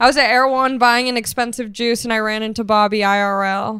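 This woman has a high-pitched voice and speaks at a moderate pace. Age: 20s. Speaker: stand-up comedian. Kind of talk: casual chat.

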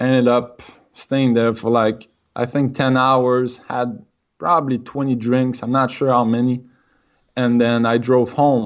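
A man in a Quebec accent, medium-pitched and fairly slow, with monotone, flat intonation and very even loudness. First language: French. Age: 20s. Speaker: person in recovery from alcohol. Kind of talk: interview. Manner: halting.

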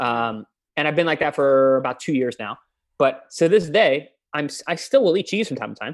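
This man has an American accent and an unremarkable speaking voice, pitched fairly high. He speaks at a moderate pace with lively intonation. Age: 30s. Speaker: professional boxer and nutritionist. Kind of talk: podcast interview. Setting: video call.

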